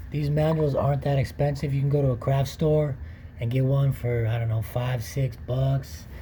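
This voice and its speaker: A man talks at a moderate pace in a somewhat breathy voice of medium pitch with ordinary pitch variation. Audible room echo surrounds the voice. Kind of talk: tutorial.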